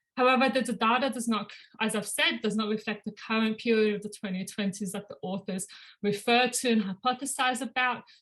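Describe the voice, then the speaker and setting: A woman at a fairly quick pace and fairly high pitch, with fairly even intonation. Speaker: doctoral researcher. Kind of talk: academic presentation. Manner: fast.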